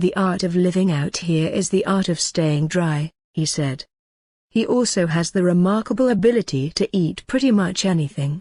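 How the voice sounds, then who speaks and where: A woman's dark, mellow voice sits fairly low and is somewhat breathy. Her loudness stays very even, and the sound is dry and close with no echo. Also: ordinary pitch variation, moderate pace. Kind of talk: documentary-style narration reading an article.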